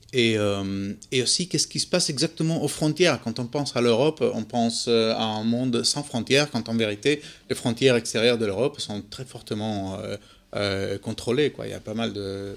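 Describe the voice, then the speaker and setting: A man with a Spanish accent talks at a moderate pace and a medium pitch. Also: ordinary pitch variation. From Spain. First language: Spanish (speaking French). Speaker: documentary photographer. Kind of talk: interview. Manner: halting.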